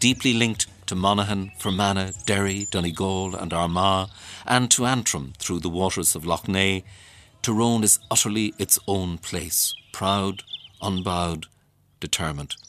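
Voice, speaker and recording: Speaking in an Irish accent, a man has a very deep, low voice with ordinary pitch variation. He keeps a moderate pace. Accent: Irish (Leitrim). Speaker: radio presenter and writer. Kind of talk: documentary narration with interviews.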